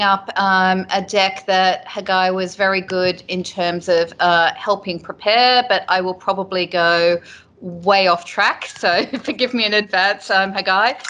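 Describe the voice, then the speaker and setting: With an Australian accent, a woman talks at a very slow pace. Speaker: telecom technology executive. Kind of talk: business presentation. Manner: halting, many fillers.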